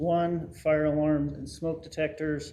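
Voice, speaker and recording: A man speaks at a fairly high pitch with a dark, mellow tone and monotone, flat intonation. Room echo is audible. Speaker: fire department official. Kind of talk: presentation to city council. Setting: council meeting.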